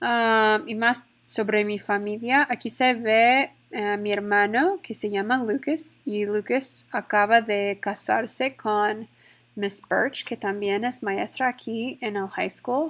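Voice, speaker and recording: Over a silent background in a very clean recording, a woman with a fairly high pitch talks very slowly, her pitch varying in an ordinary way. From Texas, Stephenville. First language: English (speaking Spanish). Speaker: Spanish teacher. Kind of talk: classroom presentation. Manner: hesitant, with many fillers.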